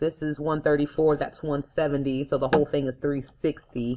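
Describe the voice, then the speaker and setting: A woman talks with a very deep, low pitch. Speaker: math teacher. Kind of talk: tutorial. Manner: casual.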